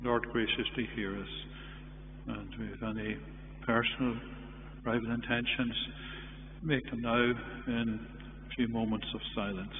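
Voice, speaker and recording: Recorded with audible room echo and light background noise, a man talks at a fairly slow pace with long, frequent pauses. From Ireland. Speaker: priest. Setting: church livestream. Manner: formal, warm, measured. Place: church.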